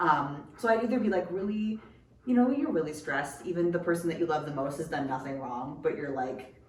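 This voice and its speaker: A woman speaks in a very deep, low pitch at a fairly quick pace, with lively intonation. Room echo is audible, and background noise is noticeable. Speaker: podcast co-host. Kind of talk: casual chat. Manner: fast; animated.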